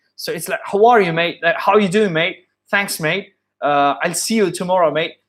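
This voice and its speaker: The voice belongs to a man with a British accent. His pitch is high. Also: ordinary pitch variation, moderate pace. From India. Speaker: English accent coach and musician. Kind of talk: live-stream tutorial. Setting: live stream with headset. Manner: halting, many restarts.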